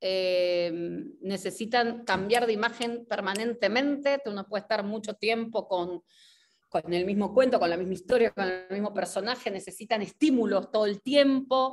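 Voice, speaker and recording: This woman speaks at a fairly slow pace, her fairly high pitch moving with ordinary variation. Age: 40s. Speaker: actress and theatre director; actress. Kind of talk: interview conversation. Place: home room. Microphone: video call.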